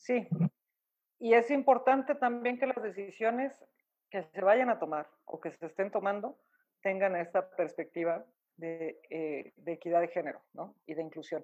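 A woman with a plain, everyday voice speaks at a fairly slow pace, her pitch medium. Her intonation is lively, with big swings in loudness. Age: 40s. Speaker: coffee business owner. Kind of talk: interview. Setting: remote call.

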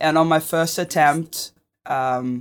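Recorded very cleanly with a silent background and a dry, close sound with no echo, a woman with a Brazilian accent speaks with ordinary pitch variation. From Rio de Janeiro, Brazil. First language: Portuguese. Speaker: filmmaker and navy veteran. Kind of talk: interview.

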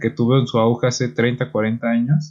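A man's normal speaking voice, medium in pitch, with fairly even intonation. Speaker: podcast co-host. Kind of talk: casual chat.

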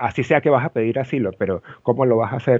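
A man talks in a normal speaking voice at a medium pitch. His pace is moderate. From Venezuela, Los Teques. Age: 30s. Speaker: event production director. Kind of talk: interview.

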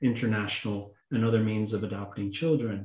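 A man with a plain, everyday voice at a medium pitch. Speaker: adoptee and writer guest. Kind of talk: interview conversation on adoption and politics.

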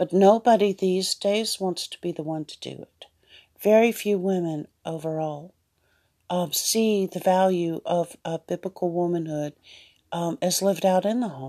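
With a dark, mellow tone and fairly low pitch, a woman speaks at a moderate pace with ordinary pitch variation in a dry, close sound with no echo. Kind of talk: devotional monologue. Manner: hesitant, many fillers.

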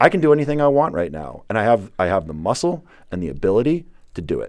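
Recorded very cleanly against a silent background, a man speaks at a very fast pace and medium pitch, with very wide pitch swings. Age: 30s. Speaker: pro wrestler. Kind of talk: in-character wrestling promo interview.

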